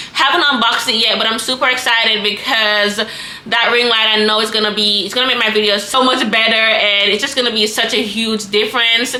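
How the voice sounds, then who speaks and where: Talking at a fairly quick pace, a woman keeps a fairly high, monotone, flat voice at very even loudness, with audible room echo and noticeable background noise. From Jamaica. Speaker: content creator and small business owner. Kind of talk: tutorial. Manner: loud, projecting; casual, chatty. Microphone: built-in camera microphone.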